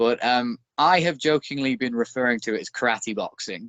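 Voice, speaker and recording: A man talks at a moderate pace with a Northern English accent. His pitch sits in the medium range. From northern England. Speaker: former pro wrestler and bare knuckle boxer. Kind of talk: podcast interview.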